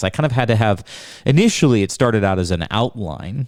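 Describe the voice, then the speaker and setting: A man's fairly low voice comes through on a very clean recording against a silent background. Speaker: podcast host, former financial advisor. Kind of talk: personal storytelling monologue. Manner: fast; casual, repetitive fillers.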